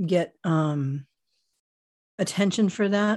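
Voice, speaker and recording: A woman with an American accent speaks in an ordinary speaking voice at a medium pitch with ordinary pitch variation. The background is quiet. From US, Miami, Florida. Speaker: personal development coach and author. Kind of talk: interview.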